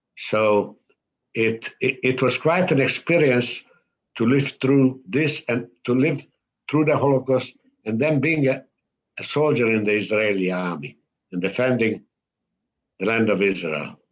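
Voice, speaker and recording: A man with a Hungarian accent speaks at medium pitch and a fairly slow pace, using lively intonation and long, frequent pauses. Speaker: Holocaust survivor. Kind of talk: testimony. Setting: synagogue event. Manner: halting.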